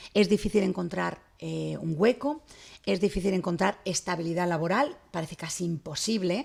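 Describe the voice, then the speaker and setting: A woman talks at a moderate pace in a fairly low pitch, with vocal fry. Her pitch variation is ordinary. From Spain. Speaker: journalist. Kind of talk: interview.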